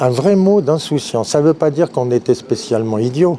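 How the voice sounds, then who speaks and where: Against noticeable background noise, a man speaks at a moderate pace with lively intonation. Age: 60s. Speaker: customer interviewed in street, retired guitar teacher. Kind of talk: vox pop interview.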